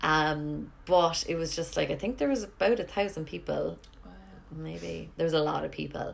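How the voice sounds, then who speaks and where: Speaking at a moderate pace with a Cork accent, a woman's loudness swings widely. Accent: Irish (Cork). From Ireland. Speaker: podcast host, yoga teacher. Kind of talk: casual interview chat. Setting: home kitchen.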